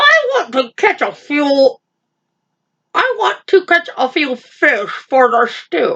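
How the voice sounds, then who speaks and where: At a very slow pace, a woman puts on a high-pitched character voice. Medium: read story.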